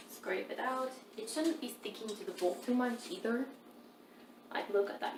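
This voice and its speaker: Fairly high-pitched woman at a moderate pace, lively intonation, audible room echo and noticeable background noise. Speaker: home cooking video host. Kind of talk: cooking tutorial. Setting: home kitchen. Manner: involuntary tics and swears; sometimes slurred speech.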